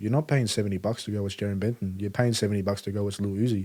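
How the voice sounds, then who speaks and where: Very fast and in an Australian accent, a man talks with a dark, mellow tone at a fairly low pitch. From Melbourne, Australia. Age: 20s. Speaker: rapper. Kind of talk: casual chat. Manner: casual, lots of filler words.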